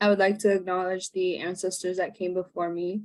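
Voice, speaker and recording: A woman speaks at a moderate pace with a Canadian accent. Her medium-pitched voice stays monotone, with flat intonation. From Labrador, Canada (Inuk, Nunatsiavut). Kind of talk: prepared talk at online event. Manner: halting.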